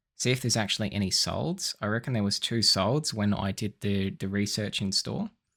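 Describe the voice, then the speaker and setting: A man with an Australian accent, a bright, sharp tone, a fairly quick pace and ordinary pitch variation. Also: very clean recording, silent background. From South Australia. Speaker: eBay reseller and vineyard worker. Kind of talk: casual haul video tutorial. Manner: casual, frequent fillers.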